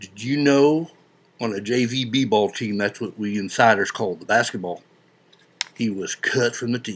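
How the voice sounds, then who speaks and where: A man at a medium pitch and a moderate pace. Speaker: video blogger. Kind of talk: comedic monologue. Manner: mumbling; folksy, joking.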